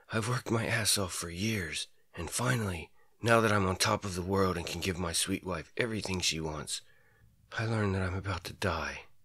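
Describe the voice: In a put-on character voice, a man speaks at a moderate pace with a very deep, low pitch, a raspy sound and fairly even intonation on a very clean recording with a silent background.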